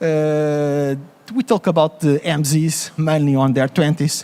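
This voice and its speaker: With a Portuguese accent, a man speaks in a dark, mellow tone. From Portugal. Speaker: coffee conference speaker. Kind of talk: conference presentation.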